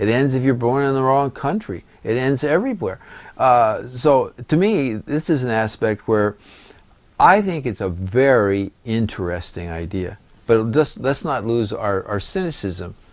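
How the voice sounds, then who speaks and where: Speaking at a fairly slow pace, a man with an American accent swings his pitch very widely. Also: medium pitch for a man. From US West. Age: 60s. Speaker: astrologer and palmist. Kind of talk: interview. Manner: halting, many repetitions and fillers.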